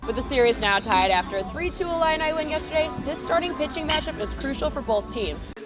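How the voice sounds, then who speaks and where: A woman's high-pitched, very fast, upbeat voice with very wide pitch swings, music playing in the background. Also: hardly any pauses. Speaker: student TV news reporter and anchor. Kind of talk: morning show anchor banter. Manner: upbeat, chatty.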